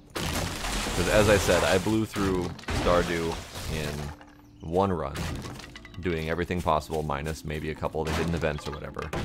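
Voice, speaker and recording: Amid noticeable background noise, a man with a very deep, low voice talks at a moderate pace. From United States. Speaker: gaming streamer. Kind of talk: casual chat.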